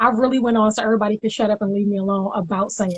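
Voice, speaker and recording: The voice is somewhat breathy, delivered with monotone, flat intonation. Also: woman. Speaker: gospel singer. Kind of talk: interview.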